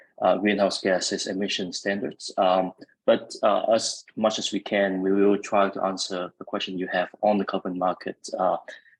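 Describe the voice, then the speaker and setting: A man speaks with a Vietnamese accent at a fairly low pitch. His intonation stays monotone and flat. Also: moderate pace. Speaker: event moderator. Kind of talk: webinar panel moderation. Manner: hesitant, many fillers.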